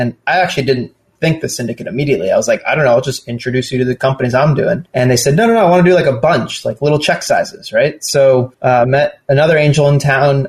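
Somewhat breathy and fairly high in pitch, a man with an American accent talks at a very fast pace with ordinary pitch variation and hardly any pauses. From Southern California. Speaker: startup founder and venture investor. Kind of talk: casual interview conversation.

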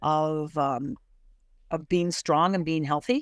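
A woman's very deep, low voice with an American accent, at a fairly slow pace with fairly even intonation, in a very clean, dry, close recording with a silent background and no echo. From US Midwest, Barrington, Illinois. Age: 60s. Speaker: business owner. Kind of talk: interview.

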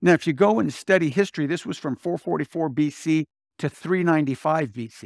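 An unremarkable speaking voice moves at a moderate pace on a very clean recording with a silent background and a dry, close sound with no echo. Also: man. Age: 60s. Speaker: pastor. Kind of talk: sermon. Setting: church.

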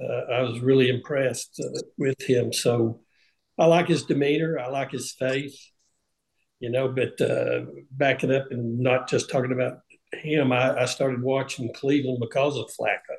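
A man speaks in a Southern US accent. His pace is moderate. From US South, Tennessee. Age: 60s. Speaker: retired NFL punter. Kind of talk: panel discussion.

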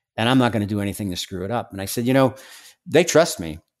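Here is an ordinary speaking voice: a man with an American accent and lively intonation. The recording is very clean, with a silent background. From New York, Staten Island. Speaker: former undercover drug agent. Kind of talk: interview.

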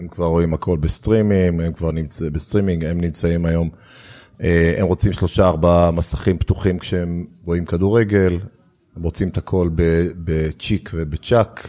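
This man has a very deep, low pitch and a dark, mellow tone, talking at a moderate pace with fairly even intonation on a very clean recording with a silent background. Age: 50s. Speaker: startup investor and accelerator founder. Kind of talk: interview conversation.

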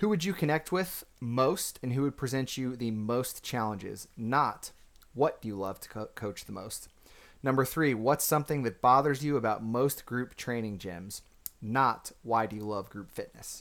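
A man with an ordinary speaking voice speaks at a moderate pace and medium pitch with lively intonation, in a very clean recording with a silent background. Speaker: gym owner and podcast host. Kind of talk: casual conversational podcast chat. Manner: casual, conversational, with fillers.

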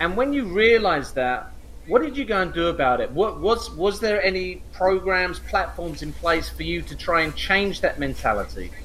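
A man talks at a moderate pace with hardly any pauses, and noticeable background noise sits behind him. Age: 50s. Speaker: podcast host. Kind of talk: interview.

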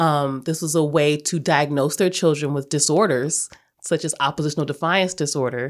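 A woman speaks in a very deep, low voice at a moderate pace, her intonation fairly even. The recording is very clean, with a silent background. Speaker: podcast host. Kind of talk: interview.

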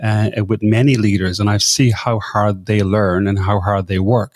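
Recorded very cleanly against a silent background, a man with an Irish accent talks in a fairly low pitch with fairly even intonation, the sound dry and close with no echo. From Ireland. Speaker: leadership coach and podcaster. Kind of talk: interview.

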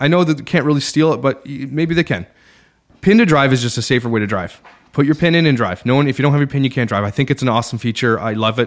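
The man speaks at a very fast pace. His voice sits at a medium pitch with ordinary pitch variation. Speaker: podcaster. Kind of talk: casual interview chat. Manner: fast talker.

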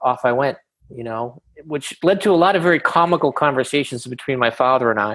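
Against a quiet background, a man speaks in an ordinary speaking voice at medium pitch and a moderate pace. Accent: American. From Boston, Massachusetts (Jamaica Plain). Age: 50s. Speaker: company founder and CEO. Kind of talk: interview.

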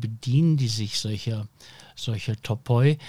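A man speaks at a very slow pace with a medium pitch and a somewhat breathy sound. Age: 60s. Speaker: podcast host and publisher. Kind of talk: panel discussion. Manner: hesitant with many fillers.

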